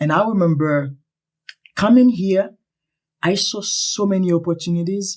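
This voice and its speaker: A man with a Haitian accent, high pitched, at a moderate pace with ordinary pitch variation and long, frequent pauses. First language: Haitian Creole or French. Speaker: earthquake survivor. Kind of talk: interview.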